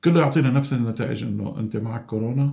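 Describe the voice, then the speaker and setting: A man speaks with a dark, mellow tone that is somewhat breathy. His pitch varies in an ordinary way over a quiet background. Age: 50s. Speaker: COVID-19 survivor. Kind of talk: testimony. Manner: halting. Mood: calm, earnest. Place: home room. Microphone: phone near.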